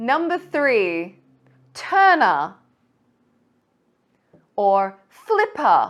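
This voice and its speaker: With an Australian accent, a woman speaks very slowly in a high pitch, her voice making very wide pitch swings between long, frequent pauses. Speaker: English teacher. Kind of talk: pronunciation lesson to camera. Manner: slow, clear.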